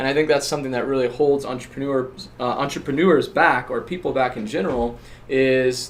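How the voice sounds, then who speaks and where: A man's medium-pitched voice at a fairly quick pace with fairly even intonation, over noticeable background noise. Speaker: podcast host, entrepreneur. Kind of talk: casual chat. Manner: outgoing.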